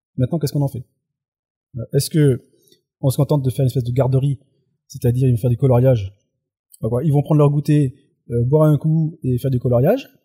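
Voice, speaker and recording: Very fast and somewhat breathy, a man's dark, mellow voice shows ordinary pitch variation over a dry, close sound with no echo. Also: long, frequent pauses. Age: 40s. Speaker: youth work trainer and blogger. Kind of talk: casual chat. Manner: halting.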